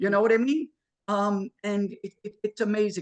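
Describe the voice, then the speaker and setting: A man with a New York accent speaks at a high pitch. The sound is dry and close, with no echo. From New York, Queens. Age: 60s. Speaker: electrical trade school owner and instructor. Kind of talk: interview. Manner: casual, repetitive with many fillers.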